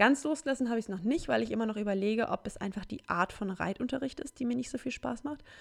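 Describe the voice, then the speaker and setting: Vocal fry runs through a woman's speech, which has lively intonation. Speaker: solo podcaster. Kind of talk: casual monologue.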